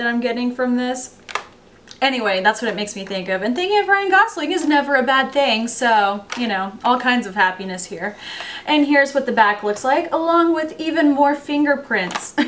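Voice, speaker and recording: Over noticeable background noise, a woman with a high voice speaks at a moderate pace with lively intonation. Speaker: beauty vlogger. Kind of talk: product review. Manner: casual, chatty.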